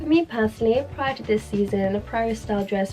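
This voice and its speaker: A woman with a British accent at medium pitch, ordinary pitch variation and a very fast pace, with music in the background. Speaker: fashion vlogger. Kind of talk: scripted talk to camera.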